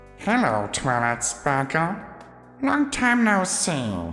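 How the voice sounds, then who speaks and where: Over clear background music, a put-on character voice in a low-to-middle pitch talks at a very slow pace. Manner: snide, condescending.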